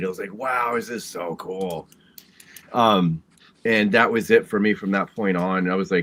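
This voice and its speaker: With an American accent, this man talks at a moderate pace in a fairly low voice. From Oklahoma (Shawnee). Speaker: storm chaser and musician. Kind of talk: casual interview chat.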